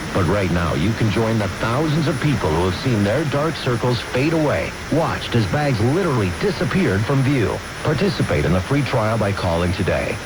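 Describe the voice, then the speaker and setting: With noticeable background noise behind him, a man talks at a medium pitch and a fairly quick pace, his pitch swinging very widely. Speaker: commercial announcer. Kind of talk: radio commercial read. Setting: radio broadcast. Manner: urgent, salesy.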